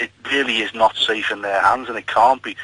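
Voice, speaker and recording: A Liverpool accent with ordinary pitch variation over noticeable background noise. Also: man. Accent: Scouse. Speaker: nurse, caller. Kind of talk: radio phone-in.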